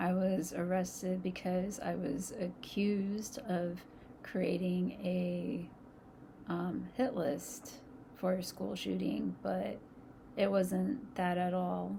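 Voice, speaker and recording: Against noticeable background noise and audible room echo, a woman speaks at a very slow pace. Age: 30s. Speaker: vlogger. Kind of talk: casual storytime monologue. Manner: halting.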